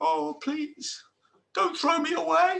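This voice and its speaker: This is a put-on character voice. Its pitch is high. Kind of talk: storytelling. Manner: pleading.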